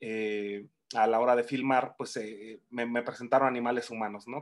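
A man talks at a medium pitch and a moderate pace. His intonation stays fairly even against a quiet background. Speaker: film director. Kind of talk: interview. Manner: halting, many repetitions.

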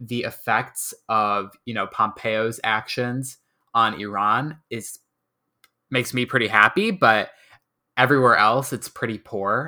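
This man has an American accent and a bright, sharp tone at medium pitch. He goes at a fairly slow pace on a very clean recording with a silent background. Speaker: student activist. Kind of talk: casual interview.

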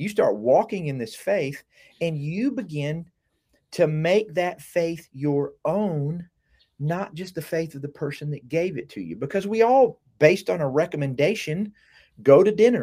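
A man with an Alabama accent, high-pitched yet dark and mellow in tone, fairly slow, with lively intonation and big swings in loudness, on a very clean recording with a silent background. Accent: southern US (Alabama). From US South (south Alabama). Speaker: university professor. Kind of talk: casual conversation.

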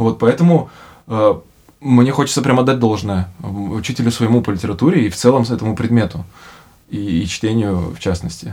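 Using lively intonation, a man with a medium pitch and a dark, mellow tone speaks with long, frequent pauses. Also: moderate pace. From Russia (born in Bishkek, moved at age 3.5). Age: 30s. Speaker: podcast host. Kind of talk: casual chat. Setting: studio.

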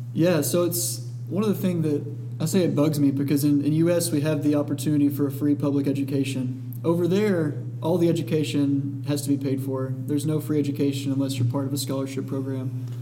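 Over noticeable background noise, a man with an American accent speaks fairly quickly with hardly any pauses, his fairly high voice held to fairly even intonation. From US South, Dalton, Georgia. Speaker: guest co-host, charity volunteer. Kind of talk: casual chat. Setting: studio.

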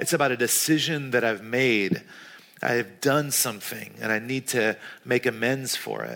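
Against noticeable background noise, a man with an American accent speaks at medium pitch and a moderate pace with ordinary pitch variation. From US South, North Carolina. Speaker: pastor. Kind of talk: sermon.

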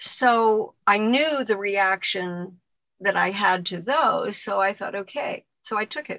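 At a very slow pace, a woman talks in a bright, sharp tone at medium pitch with ordinary pitch variation. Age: 70s. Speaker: former model, abuse survivor. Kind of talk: interview testimony. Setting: video call.

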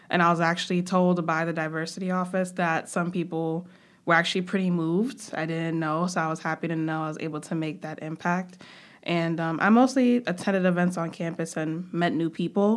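In a very clean recording with a silent background, a woman with an American accent and a plain, everyday voice speaks fairly quickly at a fairly low pitch with fairly even intonation. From New York, Brooklyn. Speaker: student government president. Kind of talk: interview.

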